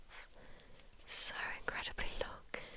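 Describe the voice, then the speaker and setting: Under noticeable background noise, a woman whispers at a very slow pace. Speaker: ASMR content creator. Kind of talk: ASMR show-and-tell, ear to ear whispers. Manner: whispered, soft-spoken, repeating words.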